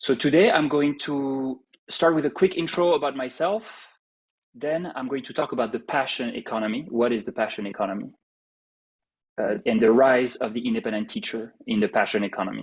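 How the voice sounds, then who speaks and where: Against a quiet background, a speaker with a strong French accent talks at a fairly quick pace with very wide pitch swings. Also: man, fairly high pitch for a man. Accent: heavy French. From France. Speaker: startup CEO and co-founder. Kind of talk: live online presentation. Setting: live online summit session.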